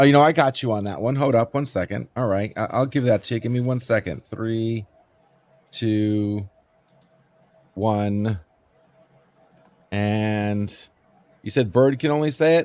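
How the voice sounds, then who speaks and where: A man with a Floridian accent speaks fairly slowly at a medium pitch with ordinary pitch variation. He leaves long, frequent pauses. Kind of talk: everyday, casual.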